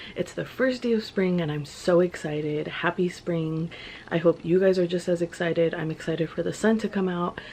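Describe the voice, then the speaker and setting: With an American accent, a woman speaks at a fairly quick pace, her fairly low pitch showing ordinary variation. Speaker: lifestyle vlogger. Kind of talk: casual vlog. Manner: animated.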